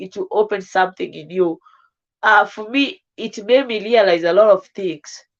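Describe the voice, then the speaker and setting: Ordinary pitch variation and a moderate pace carry this woman's speech in a Kenyan accent. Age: 20s. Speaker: live streamer. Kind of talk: casual livestream chat.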